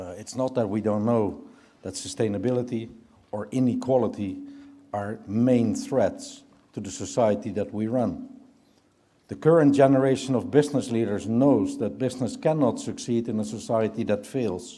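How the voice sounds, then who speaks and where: A man with a Dutch accent speaks at a moderate pace and medium pitch with ordinary pitch variation. His loudness swings widely, and audible room echo surrounds him. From Netherlands. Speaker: business leader. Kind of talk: keynote speech. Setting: conference stage with audience.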